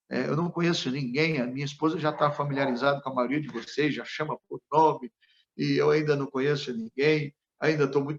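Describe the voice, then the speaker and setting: A man with an unremarkable speaking voice talks at a moderate pace in a fairly high pitch, his intonation fairly even and the sound dry and close with no echo. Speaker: pastor. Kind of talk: sermon.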